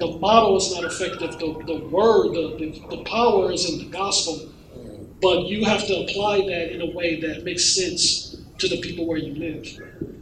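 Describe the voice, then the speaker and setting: A man with high pitch and fairly even intonation against noticeable background noise. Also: moderate pace. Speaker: pastor. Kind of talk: panel discussion. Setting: stage with audience.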